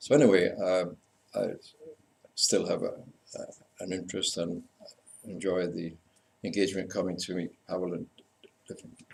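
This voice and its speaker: A man with a slight Scottish accent speaks with long, frequent pauses. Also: moderate pace. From Scotland. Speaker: university lecturer in community development. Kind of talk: conference talk. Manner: halting.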